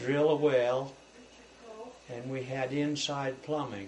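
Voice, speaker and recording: A man with an American accent at a very slow pace, monotone and flat in intonation, with noticeable background noise. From US West, rural eastern Idaho. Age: 70s. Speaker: elderly man recounting his life story. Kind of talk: oral history interview. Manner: halting, with frequent fillers.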